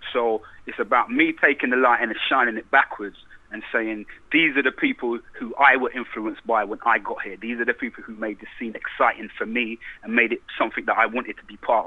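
A man with a London accent talks at a fairly quick pace, his loudness swinging widely. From England. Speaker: rapper. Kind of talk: interview. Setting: phone call.

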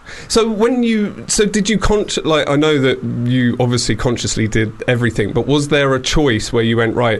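A man's voice at a moderate pace, with very wide pitch swings, very even loudness and hardly any pauses, over noticeable background noise. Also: medium pitch for a man. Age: 40s. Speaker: radio show host. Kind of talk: casual chat. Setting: studio.

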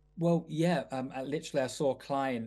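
Over music in the background, a man with a Mancunian accent talks at a moderate pace with ordinary pitch variation. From Manchester, England. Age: 40s. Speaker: celebrity personal trainer. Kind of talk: casual chat.

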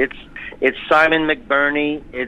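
Fairly quick delivery over noticeable background noise. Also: man. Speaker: stage actor. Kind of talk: interview. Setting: phone call.

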